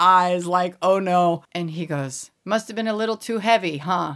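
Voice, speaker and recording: A normal speaking voice in an American accent, moderate pace and ordinary pitch variation, on a very clean recording with a silent background. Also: woman. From US, Colorado Springs, Colorado. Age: middle-aged. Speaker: university professor. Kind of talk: casual chat.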